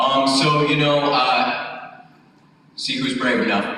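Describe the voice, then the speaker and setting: Fairly slow and fairly high in pitch, a man speaks with audible room echo. Noticeable background noise runs behind him. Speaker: FBI agent. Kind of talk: public talk. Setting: stage with audience. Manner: halting.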